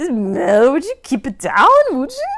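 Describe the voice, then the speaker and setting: A female-sounding, high-pitched put-on character voice. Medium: read story.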